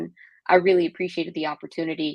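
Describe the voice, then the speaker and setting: A woman with an American accent talks at a fairly low pitch in a monotone, flat intonation. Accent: Texan accent, comes out sometimes. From Texas. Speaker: tech product executive, Navy veteran. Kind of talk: interview.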